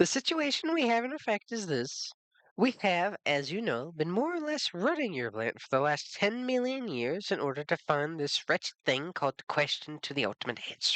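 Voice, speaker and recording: Delivered at a moderate pace, this put-on character voice has very wide pitch swings. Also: man, high pitch for a man. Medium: read story. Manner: brisk, curt.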